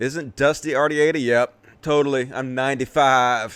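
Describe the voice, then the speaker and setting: Speaking in a Southern US accent, a man uses a medium pitch and fairly even intonation. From US South, Mississippi. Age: 40s. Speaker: political commentator, live streamer. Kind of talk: casual live stream chat. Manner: casual, profane.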